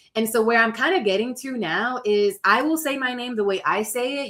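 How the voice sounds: Against noticeable background noise, a woman talks at a fairly quick pace and fairly high pitch with ordinary pitch variation.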